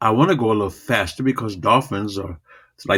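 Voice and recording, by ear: Behind the speech, the background is quiet. It is reading aloud in a natural voice.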